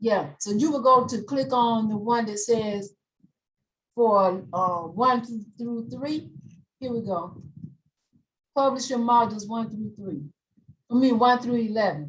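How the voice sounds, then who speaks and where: A somewhat breathy, fairly high-pitched woman's voice at a fairly slow pace, with lively intonation, long and frequent pauses, and big swings in loudness. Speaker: instructor. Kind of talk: tutorial. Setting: video call.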